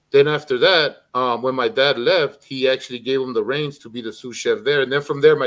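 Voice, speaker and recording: Recorded very cleanly against a silent background, a man with a Spanish accent speaks at a fairly high pitch with ordinary pitch variation. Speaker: streamer. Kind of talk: casual chat.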